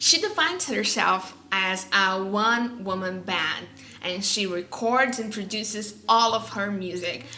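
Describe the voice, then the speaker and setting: Audible room echo surrounds a woman speaking with a non-native accent at a medium pitch. She talks at a fairly slow pace with ordinary pitch variation. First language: not English. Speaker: music vlogger. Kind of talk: casual vlog talk. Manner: halting.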